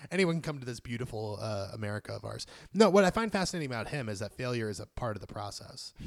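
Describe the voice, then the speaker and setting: Recorded very cleanly against a silent background, a man of medium pitch speaks very fast in an animated tone with very wide pitch swings. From Puerto Rican background, grew up in inner-city US. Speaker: screenwriter and comic writer. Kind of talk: casual chat. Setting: home recording.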